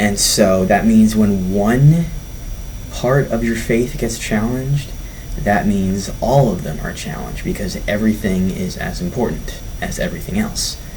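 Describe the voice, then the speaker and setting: Speaking at a fairly slow pace, a man with a fairly low pitch shows ordinary pitch variation against noticeable background noise. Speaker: youth sermon vlogger. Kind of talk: sermon. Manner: hesitant, stuttering.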